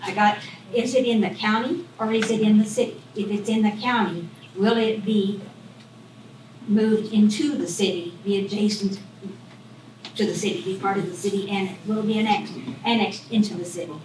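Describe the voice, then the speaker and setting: Audible room echo surrounds a woman of medium pitch who talks at a fairly quick pace with ordinary pitch variation and long, frequent pauses. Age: 80s+. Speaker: resident speaking at public meeting. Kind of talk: public comment. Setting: public meeting.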